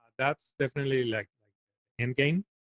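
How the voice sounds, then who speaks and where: This man speaks with a Spanish accent and fairly even intonation. The sound is dry and close, with no echo. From Venezuela. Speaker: stand-up comedian. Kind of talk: interview.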